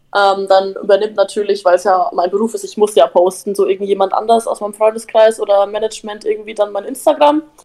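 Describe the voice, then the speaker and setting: Speaking at a very fast pace with hardly any pauses, a woman with a fairly high pitch and a dark, mellow tone uses ordinary pitch variation. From Upper Franconia, Bavaria (Bamberg area). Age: 19. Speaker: influencer and reality TV participant. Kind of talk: casual chat.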